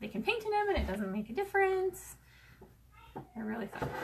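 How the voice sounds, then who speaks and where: Noticeable background noise surrounds a woman speaking at a fairly quick pace. Her loudness swings widely. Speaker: sewing crafter. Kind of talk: sewing tutorial. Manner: casual, chatty.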